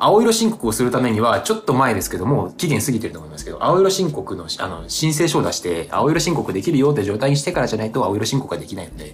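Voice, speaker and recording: Over noticeable background noise, a man with a medium-pitched voice speaks very fast with hardly any pauses, very wide pitch swings and big swings in loudness. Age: 20s. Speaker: actor and podcast co-host. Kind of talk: casual chat. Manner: animated.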